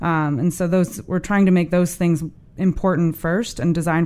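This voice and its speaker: With an American accent and a normal speaking voice, this woman talks at a fairly low pitch with fairly even intonation, recorded very cleanly against a silent background. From US Midwest, St. Louis. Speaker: transportation planner. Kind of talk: interview.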